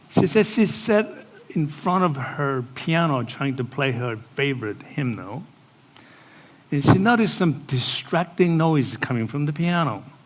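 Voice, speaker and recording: Audible room echo surrounds a man's voice. He speaks at a fairly slow pace and a fairly high pitch. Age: 60s. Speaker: pastor. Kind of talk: sermon.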